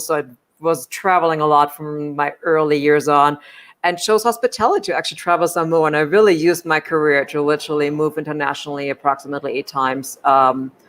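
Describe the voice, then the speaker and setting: A woman speaks in a German accent at a fairly quick pace. Her pitch is very deep and low, with fairly even intonation. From Germany. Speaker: hospitality executive and leadership coach. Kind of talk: interview.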